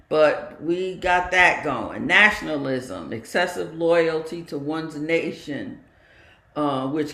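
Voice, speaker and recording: A woman with a very deep, low pitch talks at a fairly slow pace with ordinary pitch variation, and there is audible room echo. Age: 80s+. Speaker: meditation community talk leader. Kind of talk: dharma talk.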